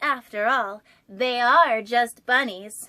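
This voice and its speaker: Using a put-on character voice, a woman speaks at a high pitch. Her pace is very slow. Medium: read story. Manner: excitable.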